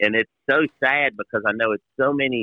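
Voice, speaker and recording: A man speaks with an American accent in an unremarkable speaking voice. His pitch is medium, with ordinary variation, and his pace is moderate. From Ohio. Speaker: racing team president. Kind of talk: interview. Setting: phone call.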